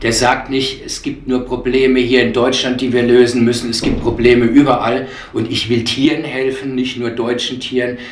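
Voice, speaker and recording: There is audible room echo as a man speaks at a moderate pace in monotone, flat intonation. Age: 50s. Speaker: animal shelter director. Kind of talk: interview. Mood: earnest, persuasive.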